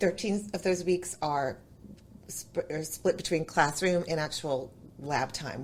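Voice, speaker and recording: Somewhat breathy, a woman speaks with ordinary pitch variation. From New England. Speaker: chef and culinary instructor. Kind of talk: podcast interview.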